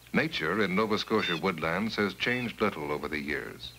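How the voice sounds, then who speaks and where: Here is a man with a very deep, low pitch. His intonation is lively. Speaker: documentary narrator. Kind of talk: documentary narration. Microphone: old recording.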